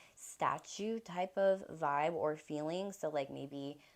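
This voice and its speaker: A woman speaks in a normal speaking voice at a fairly slow pace, with ordinary pitch variation. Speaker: tarot reader. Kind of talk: tarot reading.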